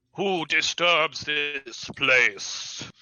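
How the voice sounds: A man performs in a put-on character voice. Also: fairly high pitch for a man.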